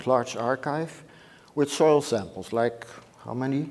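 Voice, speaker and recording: A man with a Dutch accent talks at a moderate pace, his medium pitch showing ordinary variation. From Netherlands. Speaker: microbiology professor. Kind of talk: lecture. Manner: halting.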